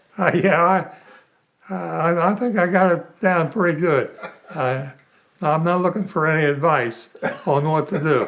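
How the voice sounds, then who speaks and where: A high-pitched man with very even loudness, ordinary pitch variation and long, frequent pauses. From West Virginia. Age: 90s. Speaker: centenarian interviewee. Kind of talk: casual interview. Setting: at home.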